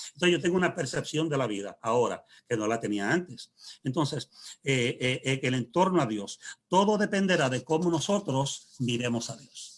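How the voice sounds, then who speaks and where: A man's somewhat breathy voice at a moderate pace, with lively intonation. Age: 60s. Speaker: pastor. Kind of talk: panel discussion. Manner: halting.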